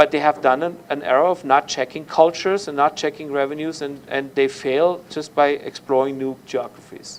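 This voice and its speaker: A man with a German accent speaks at a moderate pace in a fairly high voice. His intonation is fairly even, with hardly any pauses. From Germany. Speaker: university lecturer. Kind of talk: lecture. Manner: loud.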